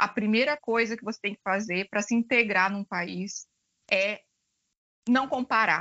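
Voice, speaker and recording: With big swings in loudness and long, frequent pauses, a woman speaks fairly slowly at a fairly high pitch with ordinary pitch variation. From Brazil. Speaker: finance executive. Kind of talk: interview. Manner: hesitant, many fillers.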